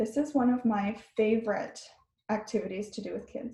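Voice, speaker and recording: With a Canadian accent, the speaker has a dark, mellow tone that is somewhat breathy and keeps a moderate pace. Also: woman. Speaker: therapist. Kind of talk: webinar talk.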